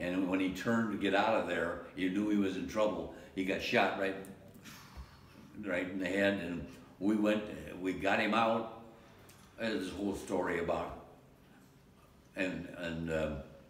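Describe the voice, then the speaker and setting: With an American accent, a man speaks at a moderate pace in a very deep, low voice, his intonation fairly even, with long, frequent pauses and audible room echo. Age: 90s. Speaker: war veteran. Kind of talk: interview. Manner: halting.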